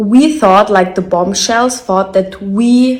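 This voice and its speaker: The speaker has a German accent and fairly even intonation. The voice sounds somewhat breathy. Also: woman. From Germany. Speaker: reality TV contestant. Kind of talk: personal video statement.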